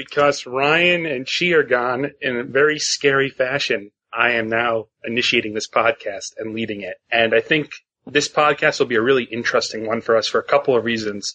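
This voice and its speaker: At a moderate pace, a man talks with a northeastern US accent. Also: medium pitch for a man, ordinary pitch variation. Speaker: podcast host.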